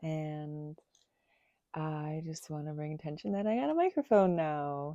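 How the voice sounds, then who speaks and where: Pitch varies in an ordinary way as the words come out at a fairly slow pace. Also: woman, very deep, low pitch for a woman. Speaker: spiritual channeler, video creator. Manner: voice fades quieter when channeling.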